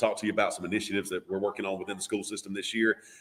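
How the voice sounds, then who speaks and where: Someone speaks in a Southern US accent. The pace is very fast. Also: man. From US South, Georgia. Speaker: radio auction host. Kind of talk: live radio broadcast chat. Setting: studio with live radio and Facebook feed.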